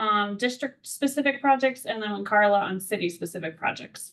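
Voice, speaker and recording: This woman's voice is fairly high, with pitch that varies in an ordinary way. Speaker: parks planning consultant. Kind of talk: public meeting presentation. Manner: fast.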